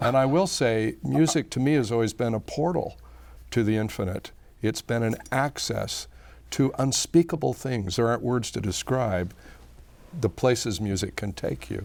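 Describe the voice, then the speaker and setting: Here a man speaks with lively intonation. His pace is moderate. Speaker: choir conductor and vocalist. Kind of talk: interview conversation.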